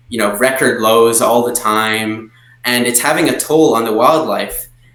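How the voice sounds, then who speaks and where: The speech comes at a moderate pace in a flat monotone, with noticeable background noise. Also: man. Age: young. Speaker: wildlife photographer. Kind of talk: interview answer.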